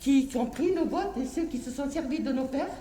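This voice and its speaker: Noticeable background noise and audible room echo fill this clip. A woman speaks at a high pitch with ordinary pitch variation. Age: 60s. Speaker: harki descendant activist. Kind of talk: impassioned public speech.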